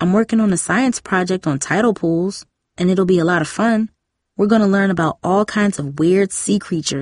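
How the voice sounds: Against a quiet background, this is a natural reading voice with ordinary pitch variation.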